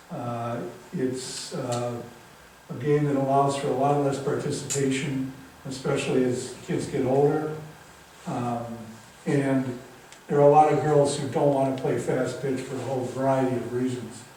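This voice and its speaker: Over noticeable background noise and audible room echo, a man talks at a moderate pace in a medium pitch, his intonation monotone and flat, with long, frequent pauses. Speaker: author. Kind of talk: public talk.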